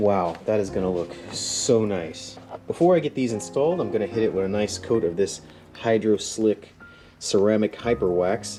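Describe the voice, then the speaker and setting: Over music in the background, the voice moves at a moderate pace with ordinary pitch variation. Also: man, fairly low pitch for a man. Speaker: motorcycle YouTuber. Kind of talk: casual how-to vlog. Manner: hesitant, repeats words.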